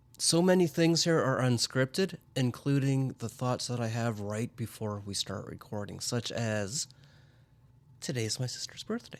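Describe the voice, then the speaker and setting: Here is a man with an ordinary speaking voice and a medium pitch. His intonation is lively and his pace moderate. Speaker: podcast host. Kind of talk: casual chat.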